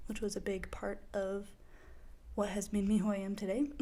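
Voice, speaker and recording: The voice has a dark, mellow tone and an American accent, with fairly even intonation. It moves at a moderate pace amid audible room echo. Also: woman. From Idaho, US. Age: 20s. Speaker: podcaster, college student. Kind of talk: casual monologue podcast. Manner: hesitant, many fillers.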